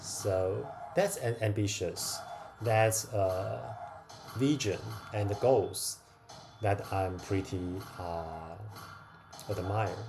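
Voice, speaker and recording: Delivered at a very slow pace with long, frequent pauses, the speech has ordinary pitch variation, a non-native accent and noticeable background noise. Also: man, fairly low pitch for a man. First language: not English. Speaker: crypto gaming streamer. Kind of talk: casual livestream chat while gaming. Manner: hesitant, with fillers.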